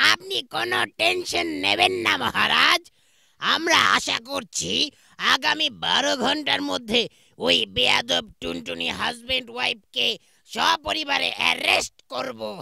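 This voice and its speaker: A man's cartoonish character voice at a fairly slow pace. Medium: puppet show.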